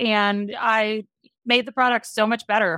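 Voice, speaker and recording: A woman's medium-pitched voice in an American accent with monotone, flat intonation, dry and close with no echo, in a very clean recording with a silent background. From US Midwest, Wisconsin. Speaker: beverage company founder. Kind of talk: interview.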